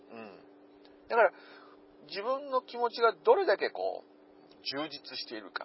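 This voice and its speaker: Delivery is at a fairly slow pace, with big swings in loudness and long, frequent pauses. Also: man. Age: 40s. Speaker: podcast host. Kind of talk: casual monologue. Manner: rambling with many fillers.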